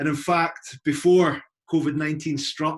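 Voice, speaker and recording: A man speaks with a Scottish accent at a moderate pace. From Scotland. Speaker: university recruitment representative. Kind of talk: informational presentation. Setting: video call.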